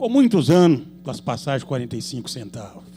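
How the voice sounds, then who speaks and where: His pitch sits high for a man. He talks at a fairly quick speed. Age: 70s. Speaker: city councillor. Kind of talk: public hearing speech. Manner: animated.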